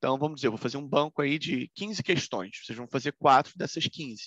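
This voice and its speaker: Recorded dry and close with no echo against a quiet background, a man speaks at a moderate pace with a fairly high pitch and ordinary pitch variation. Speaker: law professor. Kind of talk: lecture.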